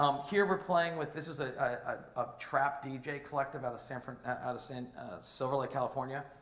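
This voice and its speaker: Amid noticeable background noise and audible room echo, a man talks at a fairly quick pace in a fairly high pitch with fairly even intonation. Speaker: entrepreneur, conference speaker. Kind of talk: conference talk with slides. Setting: stage with audience. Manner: halting, many fillers and restarts; fast, rushing to finish.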